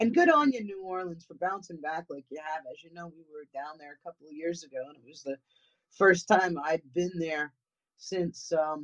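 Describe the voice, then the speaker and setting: With a New England accent, a woman talks at a moderate pace in a fairly low pitch, with big swings in loudness and a dry, close sound with no echo. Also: ordinary pitch variation. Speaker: paranormal investigator. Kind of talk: casual chat.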